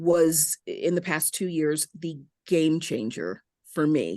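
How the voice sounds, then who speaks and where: Speaking at a very slow pace, a woman with an American accent has a fairly low pitch. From Southern California, San Fernando Valley. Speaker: news anchor. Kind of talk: interview conversation. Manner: animated.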